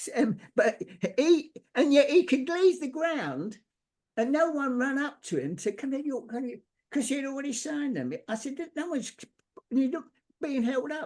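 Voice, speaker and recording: A man's extremely high-pitched voice with ordinary pitch variation at a moderate pace. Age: 90s. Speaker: sports artist. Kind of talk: casual interview storytelling. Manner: animated; halting, repetitive.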